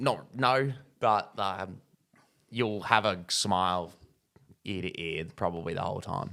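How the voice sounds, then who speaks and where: A man with an Australian accent speaks in a very deep, low voice with a bright, sharp tone and ordinary pitch variation. His fairly slow pace includes long, frequent pauses, and the recording is very clean with a silent background. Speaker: movie review podcast host. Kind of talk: casual chat.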